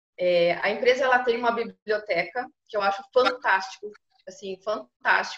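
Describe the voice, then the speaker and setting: With a normal speaking voice, a woman talks at a moderate pace and a fairly high pitch. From southern Brazil, Pelotas (Rio Grande do Sul). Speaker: food quality coordinator. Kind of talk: interview.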